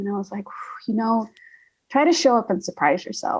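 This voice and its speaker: A woman's voice comes across as somewhat breathy. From US South, Alabama. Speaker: actress and indie filmmaker. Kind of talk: casual interview chat.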